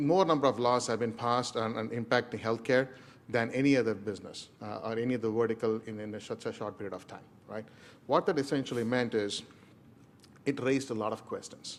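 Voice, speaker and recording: A man with an Indian accent talks at a fairly quick pace and a medium pitch. His intonation is fairly even, but his loudness swings widely. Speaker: enterprise architect. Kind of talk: presentation. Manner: fast.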